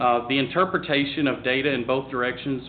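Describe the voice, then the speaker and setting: In a Southern US accent, a man talks at a medium pitch with fairly even intonation. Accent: Southern drawl. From US South, Tennessee. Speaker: agricultural advisor. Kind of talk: panel discussion. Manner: halting.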